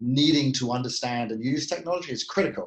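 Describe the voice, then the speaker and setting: A man speaks with a British accent at a moderate pace. His pitch is medium, with ordinary pitch variation. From UK. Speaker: tech company CEO. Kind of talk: podcast interview.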